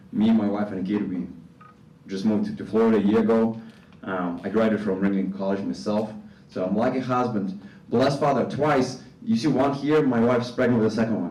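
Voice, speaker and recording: Someone with a Russian accent speaks at a fairly quick pace with ordinary pitch variation and audible room echo. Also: man, medium pitch for a man. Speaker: animation faculty member. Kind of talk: conference presentation.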